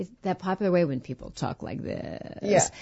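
Someone uses a put-on character voice, creaky and middle-pitched, at a moderate pace. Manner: demonstrating a popular speech style.

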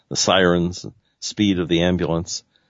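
Here a man's pitch is very deep and low. He gets through his words fairly fast. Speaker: radio host. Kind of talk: radio show hosting with read-out account. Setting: radio show.

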